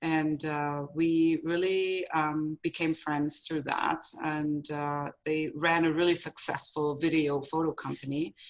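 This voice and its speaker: Over a quiet background, a woman with a German accent speaks very slowly in a very deep, low pitch, with monotone, flat intonation and hardly any pauses. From Germany. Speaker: photographer, business owner. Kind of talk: interview. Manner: halting.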